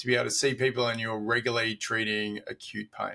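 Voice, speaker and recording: Speaking at a moderate pace, a man with a medium-pitched voice has a bright, sharp tone and fairly even intonation. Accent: Australian. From Australia. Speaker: doctor. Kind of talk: casual chat.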